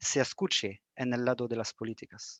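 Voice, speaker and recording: A man with a French accent at a moderate pace, against a quiet background. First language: French (speaking Spanish). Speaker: young engineers association officer. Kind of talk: prepared presentation. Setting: video call.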